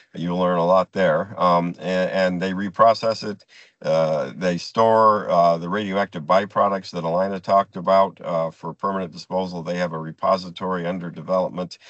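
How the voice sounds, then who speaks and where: A man with a very deep, low voice and an American accent speaks in a monotone, flat way with hardly any pauses. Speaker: nuclear industry presenter. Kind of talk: presentation. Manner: fast; halting.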